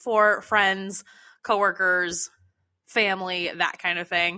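Bright and sharp in tone, a woman speaks at medium pitch in an animated tone. The recording is very clean, with a silent background. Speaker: podcast host. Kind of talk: casual chat.

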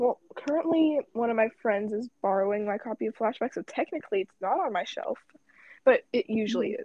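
A woman with a fairly high pitch has an ordinary speaking voice. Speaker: podcast host. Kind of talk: casual chat.

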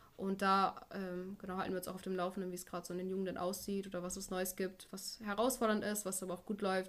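A woman speaking very fast in a flat monotone, with hardly any pauses. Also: medium pitch for a woman. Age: 20s. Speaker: nursery teacher and church youth co-leader. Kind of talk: casual interview.

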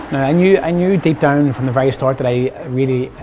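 There is noticeable background noise as a man speaks with a Northern Irish accent. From Northern Ireland, County Armagh. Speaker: hairstylist and educator. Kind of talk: casual interview.

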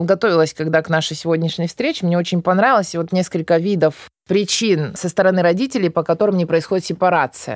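A woman's fairly low voice at a very fast pace with hardly any pauses, in a very clean recording with a silent background. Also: ordinary pitch variation. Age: 30s. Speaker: psychologist. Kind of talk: interview.

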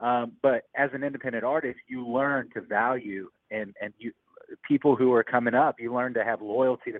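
This man talks with an American accent at a medium pitch, his intonation monotone and flat. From North Carolina. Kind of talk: casual chat.

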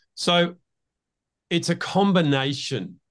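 A man speaks in an Australian accent with ordinary pitch variation. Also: quiet background. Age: 60s. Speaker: leadership coach and emotional intelligence trainer. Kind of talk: interview.

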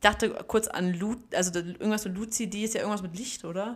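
A woman with a fairly high pitch speaks in a somewhat breathy way. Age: 20s. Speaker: podcast co-host. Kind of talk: casual chat.

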